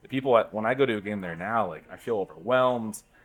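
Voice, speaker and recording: With an unremarkable speaking voice, a man of medium pitch talks at a fairly quick pace with ordinary pitch variation. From Southern California. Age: 30s. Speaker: baseball fan panelist. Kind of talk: casual chat. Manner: casual, filler-heavy.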